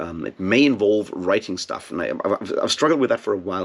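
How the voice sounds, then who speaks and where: This man speaks at a very fast pace. He has a non-native accent. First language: not English. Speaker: booktube video host. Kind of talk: casual monologue to camera. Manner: hesitant, many fillers and repeats.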